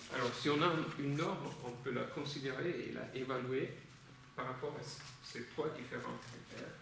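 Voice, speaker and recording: Speech at a moderate pace with fairly even intonation and long, frequent pauses comes through audible room echo and noticeable background noise. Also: man, medium pitch for a man. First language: Italian (speaking French). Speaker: legal philosophy lecturer. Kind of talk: lecture. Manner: halting, many hesitations and repetitions.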